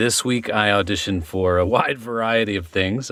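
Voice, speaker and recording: Using a plain, everyday voice, a man talks at a moderate pace and a fairly low pitch with ordinary pitch variation. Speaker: actor. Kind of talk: podcast conversation.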